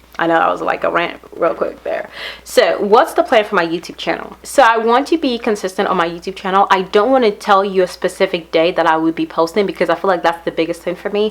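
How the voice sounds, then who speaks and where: A woman at a very fast pace with hardly any pauses and ordinary pitch variation, over noticeable background noise. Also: medium pitch for a woman. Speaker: beauty vlogger. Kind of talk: casual vlog talk to camera.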